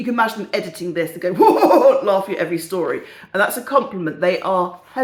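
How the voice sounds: Intonation stays lively throughout this natural reading voice.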